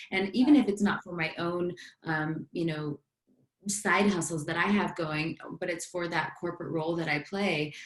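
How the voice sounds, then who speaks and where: A woman talks at a moderate pace in an unremarkable speaking voice. Her pitch is fairly low and her intonation fairly even. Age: 30s. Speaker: business coach and fitness influencer. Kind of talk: casual chat.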